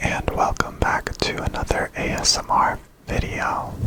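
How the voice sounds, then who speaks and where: Someone whispers over noticeable background noise. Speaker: ASMR creator and coin collector. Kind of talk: ASMR coin showcase, whispered talk to camera. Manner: quiet, soft-spoken, slow.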